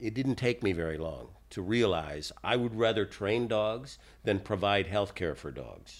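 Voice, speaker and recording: A plain, everyday voice from a man at a fairly slow pace, with ordinary pitch variation, on a very clean recording with a silent background. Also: fairly low pitch for a man. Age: 60s. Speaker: dog trainer. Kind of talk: monologue podcast talk.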